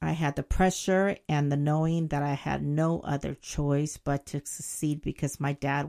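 A woman with a Spanish accent speaks at a fairly slow pace, her pitch very deep and low and her tone dark and mellow. The intonation is monotone and flat, and the sound is dry and close with no echo. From Jalisco, Mexico; moved to Oakland, California at seven. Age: 50s. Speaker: podcast host telling her life story. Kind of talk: personal storytelling monologue.

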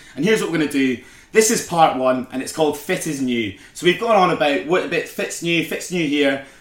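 A man with a Scottish accent, fairly high pitch, lively intonation and a fairly quick pace. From Scotland. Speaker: podcast co-host. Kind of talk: casual chat.

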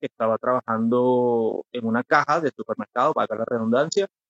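A man's voice with ordinary pitch variation. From Venezuela. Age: 30s. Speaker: mental health activist. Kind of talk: interview about personal mental health experience.

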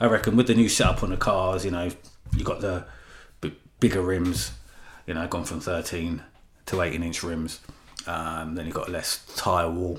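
A man with a very deep, low voice and vocal fry speaks with ordinary pitch variation, leaving long, frequent pauses. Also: moderate pace. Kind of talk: casual chat. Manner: conversational, repeats phrases.

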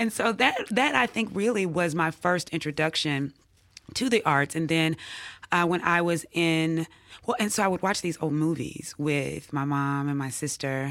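A woman's fairly low voice in a Mississippi accent, lively intonation and moderate pace, on a very clean recording with a silent background. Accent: Southern US (Mississippi). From US South, Jackson, Mississippi. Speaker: English professor. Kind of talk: interview.

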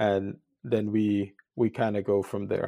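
A dark, mellow tone on a very clean recording with a silent background. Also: man. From Guyana, moved to US at nine. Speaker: electrician sharing spiritual awakening story. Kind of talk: podcast interview.

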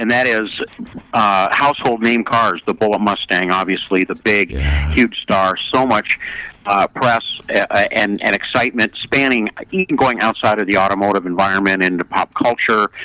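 A man speaks at a moderate pace and a fairly low pitch, with ordinary pitch variation and very even loudness. The sound is dry and close with no echo, though background noise is noticeable. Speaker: auction consignment director. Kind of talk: casual interview.

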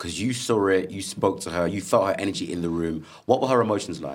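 Talking at a fairly quick pace with a British accent, a man has a very deep, low pitch and lively intonation. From UK, Zambian heritage. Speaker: podcast host. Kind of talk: casual chat. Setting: stage with audience. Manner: loud; animated.

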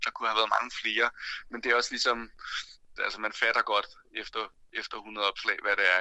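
This is a man's voice. The recording sounds dry and close, free of any echo. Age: 30s. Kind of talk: interview.

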